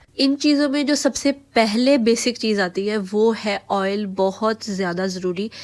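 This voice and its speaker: A woman's fairly high voice at a very slow pace, with hardly any pauses. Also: ordinary pitch variation. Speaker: beauty vlogger. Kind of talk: product review vlog.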